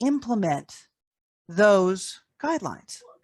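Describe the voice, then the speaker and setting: A woman speaks with a New York accent and lively intonation. The sound is dry and close with no echo, over a quiet background. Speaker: tobacco harm reduction advocate. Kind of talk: podcast interview.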